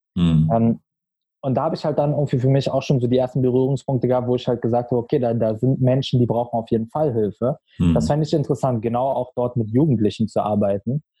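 Very fast speech comes from a man with ordinary pitch variation. His voice is somewhat breathy. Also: medium pitch for a man. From Berlin, Germany. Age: 20s. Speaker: marketing consultant. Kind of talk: podcast interview.

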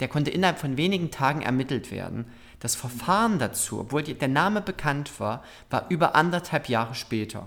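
A man talks at a fairly quick pace in an unremarkable speaking voice. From Saxony, Germany (Zwickau). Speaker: LGBT association director and activist. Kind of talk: interview.

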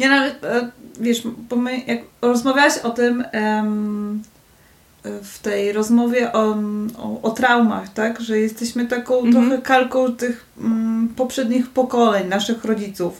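At a very slow pace with long, frequent pauses, a woman's fairly high voice stays monotone and flat in intonation while showing big swings in loudness. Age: 30s. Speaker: university lecturer. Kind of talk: casual chat. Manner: halting.

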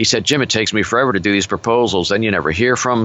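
Here a man speaks at a fairly low pitch. His pitch varies in an ordinary way. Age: 60s. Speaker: business coach. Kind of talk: interview. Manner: forceful.

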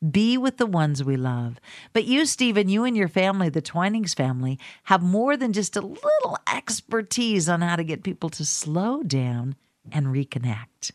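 Using very wide pitch swings at a medium pitch, a woman talks at a moderate pace in a dry, close sound with no echo. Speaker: podcast and radio host. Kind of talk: interview. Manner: animated.

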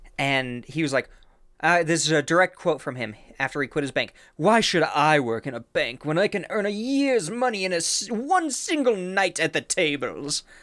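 A moderate pace carries the speech, and the recording is very clean with a silent background. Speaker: podcast co-host, storyteller. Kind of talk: casual true-crime storytelling. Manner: casual, chatty.

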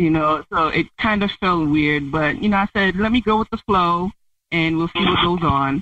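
A woman at a fairly low pitch with a normal speaking voice, moderate pace and ordinary pitch variation, in a dry, close sound with no echo. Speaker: ghosting date, prank call target. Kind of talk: casual phone chat. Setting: phone call.

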